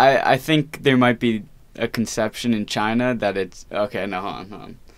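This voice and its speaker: On a very clean recording with a silent background, a man with an American accent talks at a fairly slow pace, medium in pitch, with ordinary pitch variation. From Long Island, New York. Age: 20s. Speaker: college student. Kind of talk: interview. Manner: halting.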